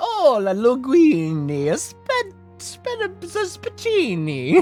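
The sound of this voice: Delivered at a very slow pace, a put-on character voice with an Italian accent plays over faint music in the background. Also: female-sounding voice, high pitch for a woman. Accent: stereotypical Italian.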